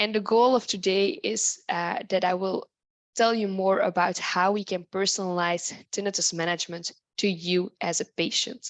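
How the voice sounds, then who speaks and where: A woman at a medium pitch with a non-native accent and fairly even intonation, at a moderate pace over a quiet background. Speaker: tinnitus researcher and expert. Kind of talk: lecture.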